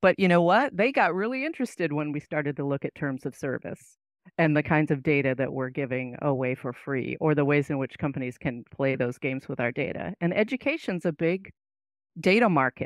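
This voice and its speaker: A woman speaks at a fairly quick pace in a very deep, low voice with lively intonation, the sound dry with no echo over a quiet background. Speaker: English professor. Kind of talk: interview discussion. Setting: video call with headset, at home. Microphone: headset.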